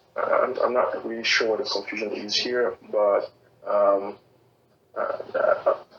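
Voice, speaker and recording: Noticeable noise fills the background as a man speaks rather slowly. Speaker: Q&A session presenter. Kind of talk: online Q&A session. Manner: monotone; not enunciating clearly.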